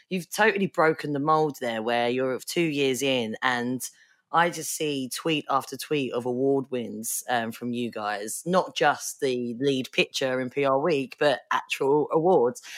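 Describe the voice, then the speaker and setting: Over a very clean recording with a silent background, a woman with an Essex accent speaks at a fairly slow pace with hardly any pauses, her very deep, low pitch showing ordinary variation. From Essex, England. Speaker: podcast host. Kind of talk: interview.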